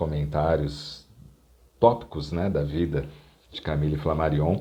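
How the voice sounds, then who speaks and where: Speaking at a very slow pace, a man uses a very deep, low pitch with a dark, mellow tone. His intonation is fairly even. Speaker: professional radio announcer and lecturer. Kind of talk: educational talk to camera about a historical figure.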